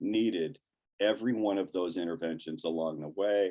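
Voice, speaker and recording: With an American accent, a man speaks at a moderate pace in a dark, mellow tone. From Ohio, Cleveland west side. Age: 60s. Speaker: professor and addiction recovery presenter. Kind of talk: lecture. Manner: halting, many fillers and restarts.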